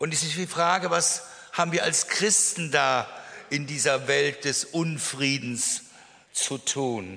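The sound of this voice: A man's fairly high, bright, sharp voice with vocal fry, at a slow pace with ordinary pitch variation.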